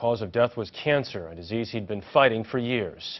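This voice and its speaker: Talking at a fairly quick pace, a man with a normal speaking voice shows ordinary pitch variation. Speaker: television news anchor. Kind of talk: network evening news anchor read.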